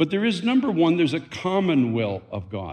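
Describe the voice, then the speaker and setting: Lively intonation runs through a normal speaking voice. The pace is moderate. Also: man. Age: 60s. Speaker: pastor. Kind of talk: sermon. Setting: church.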